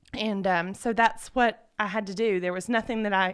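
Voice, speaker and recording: Speaking with a Southern US accent at a moderate pace, the voice keeps a fairly even intonation on a very clean recording with a silent background. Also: woman. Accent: Southern US (Georgia). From US South, Georgia. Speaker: homeschooling mother. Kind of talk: radio interview testimony. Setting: radio studio.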